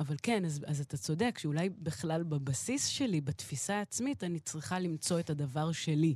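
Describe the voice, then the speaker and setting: A woman speaks in a very deep, low voice that is dark, mellow and somewhat breathy, with lively intonation. Her pace is moderate, with hardly any pauses. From Israel, partly raised in Queens, New York. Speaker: jazz pianist and singer-songwriter. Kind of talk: interview.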